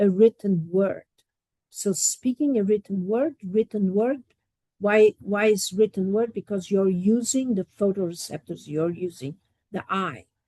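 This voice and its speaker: A woman with a Portuguese accent speaks at a fairly slow pace in a medium-pitched, somewhat breathy voice with a dark, mellow tone, the sound dry and close with no echo. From Portugal. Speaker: professor. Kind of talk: lecture.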